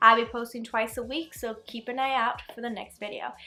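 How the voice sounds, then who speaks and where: Over music in the background, a woman speaks in an animated tone at a fairly high pitch. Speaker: beauty YouTuber. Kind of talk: product review. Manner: fast; casual, animated.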